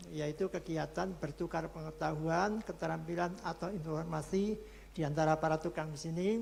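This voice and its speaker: Using a plain, everyday voice, a man talks at a moderate pace with a fairly high pitch and fairly even intonation. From Central Java (Purwokerto). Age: 60s. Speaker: retired construction instructor. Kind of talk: online presentation.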